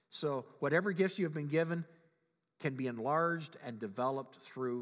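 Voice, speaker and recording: The pace stays moderate. The speaker is a man. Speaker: pastor. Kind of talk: sermon.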